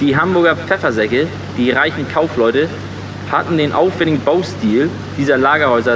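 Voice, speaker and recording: Noticeable background noise sits behind speech at a moderate pace with ordinary pitch variation. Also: man. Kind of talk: tour guide patter on a harbour boat tour, scripted audio-book scene. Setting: on a boat, harbour tour, with PA-style address to passengers. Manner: jovial, dry-humoured, friendly and matter-of-fact.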